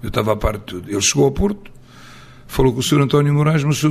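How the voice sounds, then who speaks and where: A man with a fairly high pitch. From Portugal, Abrantes area then Coimbra. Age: 60s. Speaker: football coach. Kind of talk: interview. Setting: on location in Coimbra.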